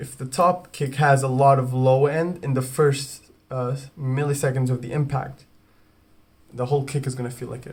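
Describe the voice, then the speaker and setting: A man speaks in a somewhat breathy voice at a medium pitch. His intonation is monotone and flat, at a moderate pace. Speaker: music producer. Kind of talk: tutorial. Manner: halting, many false starts; talking quietly.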